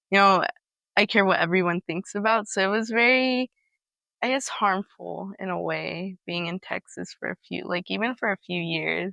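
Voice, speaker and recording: In a Spanish accent, a woman speaks at a moderate pace and medium pitch with ordinary pitch variation. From California, US. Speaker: interviewee sharing family immigration story. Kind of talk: interview testimony. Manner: casual, hesitant with fillers.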